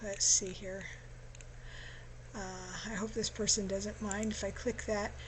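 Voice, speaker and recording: Speaking at a fairly slow pace, a woman with a fairly high pitch shows vocal fry. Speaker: genealogy tutorial presenter. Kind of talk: screen-share tutorial. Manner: casual with fillers.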